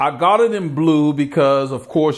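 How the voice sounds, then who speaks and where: A man's moderate-paced speech, ordinary in pitch variation, over a quiet background. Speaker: cycling channel host. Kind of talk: product review talk. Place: home room.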